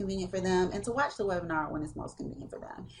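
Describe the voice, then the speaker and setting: The woman's voice is somewhat breathy. Her pitch is medium, with ordinary variation. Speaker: podcast host and online business coach. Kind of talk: casual monologue. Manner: lots of fillers and laughs.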